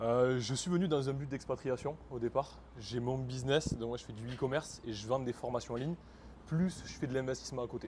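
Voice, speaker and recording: A man with a medium pitch and a somewhat breathy voice talks at a fairly quick pace with fairly even intonation. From France. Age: 20s. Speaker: e-commerce entrepreneur. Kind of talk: interview.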